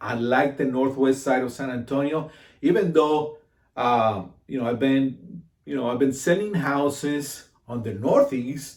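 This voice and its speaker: A man's medium-pitched voice with ordinary pitch variation, at a fairly slow pace. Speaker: realtor. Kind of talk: casual informational talk to camera. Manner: halting, many fillers and repeats.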